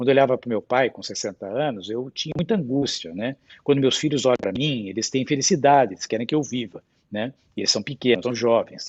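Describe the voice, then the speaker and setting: Ordinary pitch variation marks a man speaking at a fairly quick pace. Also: medium pitch for a man. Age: 60s. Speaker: hospital board chairman. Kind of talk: panel discussion. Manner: animated.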